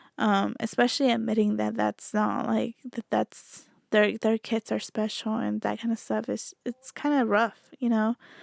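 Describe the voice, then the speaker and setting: A woman at a moderate pace with hardly any pauses, dry and close with no echo, on a very clean recording against a silent background. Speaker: podcast host. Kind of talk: casual chat.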